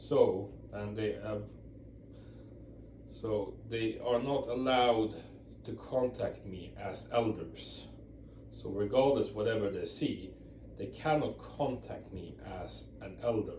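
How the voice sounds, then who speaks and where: The speaker has a non-native accent and talks at a very slow pace, with long, frequent pauses and big swings in loudness. Audible room echo surrounds the voice. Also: man. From Europe. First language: not English. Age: 40s. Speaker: ex-Jehovah's Witness video blogger. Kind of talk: casual talk to camera. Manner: halting, many repeats and fillers.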